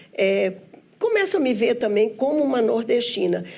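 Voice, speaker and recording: A woman is speaking. Room echo is audible. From Brazil, Minas Gerais (Belo Horizonte). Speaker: businesswoman and union leader. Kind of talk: interview. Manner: halting.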